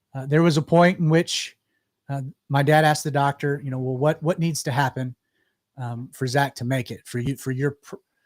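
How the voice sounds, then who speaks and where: A man talks at a moderate pace in a fairly high pitch with ordinary variation. The sound is dry and close with no echo, on a very clean recording with a silent background. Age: 30s. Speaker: pastor and radio show host. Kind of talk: personal testimony on a live radio show. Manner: halting, many fillers and repeats.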